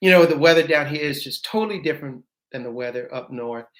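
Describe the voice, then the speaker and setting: A man with an American accent. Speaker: beekeeper. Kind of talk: live stream chat. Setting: office. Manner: halting.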